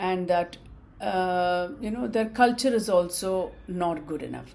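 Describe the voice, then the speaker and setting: Speaking at a fairly slow pace in an Indian accent, a woman uses a medium pitch with ordinary variation, with audible room echo in the recording. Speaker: student vlogger. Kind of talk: casual talk to camera. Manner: halting, many fillers.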